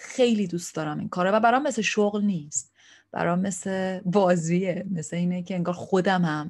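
Against a quiet background, a woman with a medium pitch and ordinary pitch variation talks at a fairly quick pace in a somewhat breathy voice. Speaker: therapist and online show host. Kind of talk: casual vlog monologue. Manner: relaxed, unscripted.

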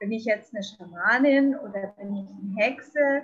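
The woman's voice sits at a high pitch. She speaks at a fairly slow pace. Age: 50s. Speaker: shaman. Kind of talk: interview. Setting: video call from a balcony.

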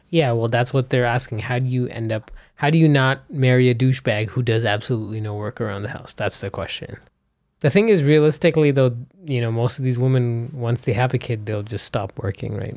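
Here a man talks at a fairly quick pace. His medium pitch has ordinary variation. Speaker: podcast host interviewing his wife. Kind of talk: casual chat. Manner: calmer than before.

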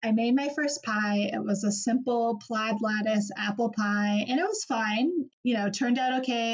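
Speaking at a moderate pace with an American accent, a woman has a plain, everyday voice, a fairly high pitch and fairly even intonation. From Seattle, US. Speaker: pie baker and cookbook author. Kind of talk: interview.

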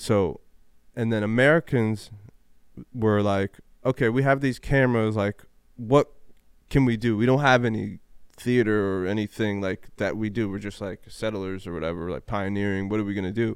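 A man with an ordinary speaking voice at a fairly low pitch. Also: ordinary pitch variation, moderate pace. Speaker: podcast host. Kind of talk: casual chat.

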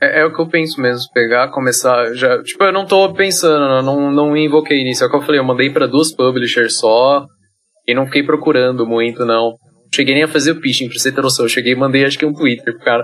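The pace here is very fast. Pitch varies in an ordinary way. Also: man, fairly high pitch for a man. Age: 20s. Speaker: solo game developer. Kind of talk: casual interview.

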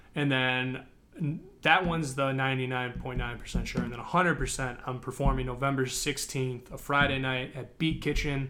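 With a Midwestern American accent, a man talks at a fairly slow pace and a medium pitch, his tone bright and sharp and his intonation monotone and flat. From Chicago suburbs, Illinois. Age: 20s. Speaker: hip hop artist. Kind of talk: casual interview.

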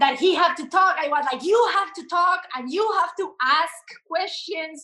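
Using a raised, projected voice, a woman in a Colombian accent speaks with a bright, sharp tone and ordinary pitch variation. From Colombia, Bogota. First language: Spanish. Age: 30s. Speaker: relationship coach. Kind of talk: casual interview.

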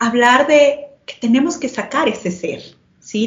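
The woman's voice is somewhat breathy, with ordinary pitch variation and a fairly slow pace. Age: 30s. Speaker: marketing analyst and relational therapist. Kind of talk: panel conversation.

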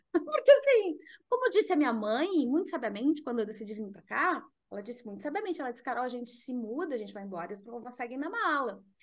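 A woman's high voice at a very fast pace, with very wide pitch swings and big swings in loudness. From southern Brazil, Porto Alegre. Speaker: mental health consultant and author. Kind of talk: podcast interview.

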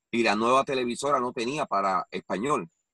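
An unremarkable speaking voice from a man at medium pitch and moderate pace, with a dry, close sound and no echo. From Puerto Rico. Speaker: wrestling commentator. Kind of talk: interview.

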